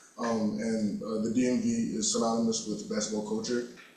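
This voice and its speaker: A man talks at a fairly quick pace with ordinary pitch variation, with audible room echo and noticeable background noise in the recording. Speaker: journalism student. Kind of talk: asking a question in class. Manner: halting.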